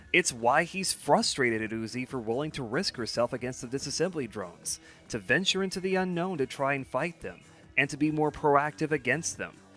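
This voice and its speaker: Here a man talks at a fairly quick pace with lively intonation. His pitch is fairly high, and music plays in the background. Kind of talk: video essay narration. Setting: home recording, some parts on lesser mic. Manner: casual, opinionated.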